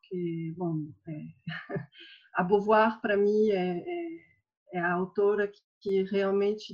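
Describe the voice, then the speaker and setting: A woman with a French accent speaks at medium pitch with fairly even intonation. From northern France. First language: French (speaking Portuguese). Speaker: university lecturer. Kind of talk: personal testimony in panel.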